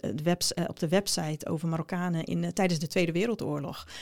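Talking at a fairly quick pace, this woman has a fairly low pitch. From Netherlands, Groningen. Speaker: education researcher and lecturer. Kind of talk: interview. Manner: hesitant with many fillers.

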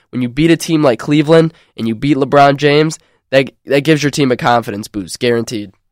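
A man with a normal speaking voice talks at a fairly high pitch and a fairly quick pace, with ordinary pitch variation. The recording is very clean and dry, with a close sound, no echo and a silent background. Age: 20s. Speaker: college radio sports host. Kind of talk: sports talk show. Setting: studio.

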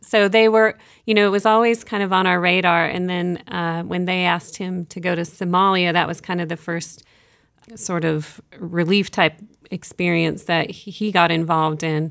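A woman with a fairly low pitch and a normal speaking voice talks at a moderate pace, her intonation fairly even. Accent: American. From Kenya, American missionary family. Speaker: nurse and medical project manager. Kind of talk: interview. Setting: studio.

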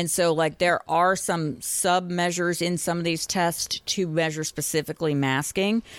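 An unremarkable speaking voice from a woman with an American accent, fairly low in pitch with fairly even intonation, at a moderate pace with hardly any pauses, in a very clean recording with a silent background and a dry, close sound with no echo. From Boston. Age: 50s. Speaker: licensed professional counselor. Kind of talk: podcast interview.

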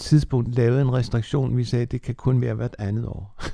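A man's dark, mellow tone holds a monotone, flat intonation. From Bornholm (Nexø). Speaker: former church youth secretary and preacher. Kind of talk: life-story interview.

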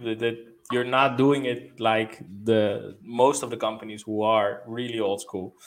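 Fairly slow, fairly even speech over noticeable background noise. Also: man, medium pitch for a man. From Netherlands. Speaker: company co-founder, salesperson. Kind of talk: sales call. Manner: halting, many fillers.

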